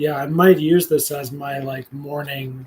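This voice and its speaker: A man with a fairly high pitch and a somewhat breathy voice speaks at a moderate pace. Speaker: spiritual video journaler. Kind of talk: live stream monologue. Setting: solo live stream. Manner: casual, hesitant with fillers.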